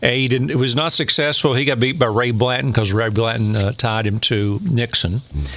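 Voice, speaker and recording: A man with an East Tennessee accent at a medium pitch and moderate pace, over noticeable background noise. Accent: Southern US (East Tennessee). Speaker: radio host and former county commissioner. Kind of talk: casual chat.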